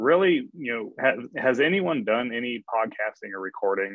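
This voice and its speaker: A man is speaking. His pace is moderate. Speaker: podcaster, guest speaker. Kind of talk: webinar presentation. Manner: monotone.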